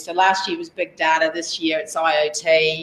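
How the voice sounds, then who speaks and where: Noticeable background noise runs throughout. The speaker is a woman. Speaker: technology executive at a research network. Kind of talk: conference talk. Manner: loud.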